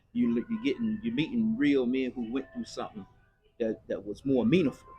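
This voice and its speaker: Background music beneath a voice of very wide-ranging pitch. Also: man, fairly high pitch for a man. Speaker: formerly incarcerated man. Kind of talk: interview. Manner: fast; halting, repetitive.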